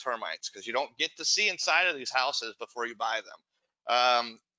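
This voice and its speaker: A man speaks at a fairly quick pace in a normal speaking voice. His pitch sits in the middle range. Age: 40s. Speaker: real estate investor, company founder. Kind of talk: webinar Q&A.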